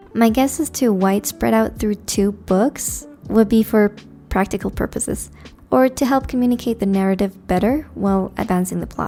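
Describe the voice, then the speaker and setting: Music plays in the background as a woman talks at a moderate pace. Her pitch is medium, with ordinary variation. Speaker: book reviewer. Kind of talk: book analysis video narration.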